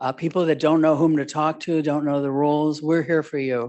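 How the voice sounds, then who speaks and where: A woman talks in an American accent with a very deep, low pitch. Her pitch variation is ordinary. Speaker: social worker, conference speaker. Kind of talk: conference presentation. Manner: animated.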